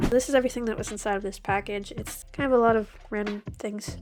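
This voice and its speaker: Fairly quick, fairly even speech over music in the background. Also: woman. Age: adult. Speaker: toy collector and video creator. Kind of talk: unboxing vlog. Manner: casual.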